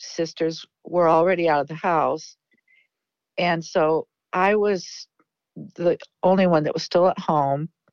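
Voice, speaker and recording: The voice has a Midwestern American accent and fairly even intonation. The sound is dry and close, with no echo. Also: woman, long, frequent pauses. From US Midwest, Davenport, Iowa. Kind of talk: interview.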